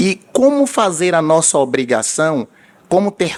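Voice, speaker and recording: A man speaks with a Bahian accent. His pitch swings very widely. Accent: Bahian Brazilian Portuguese. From Bahia, Brazil. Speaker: vascular surgeon. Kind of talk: conference talk. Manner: animated, storytelling.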